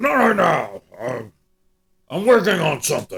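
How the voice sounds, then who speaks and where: Putting on a gruff character voice, a man talks fairly slowly at a high pitch. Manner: urgent.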